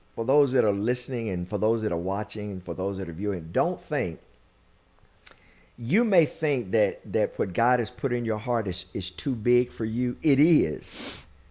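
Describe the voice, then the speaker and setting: A man's medium-pitched voice, fairly slow and lively in intonation, with music in the background. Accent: American. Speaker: podcast host and minister. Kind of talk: interview with sermon-style encouragement. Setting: studio.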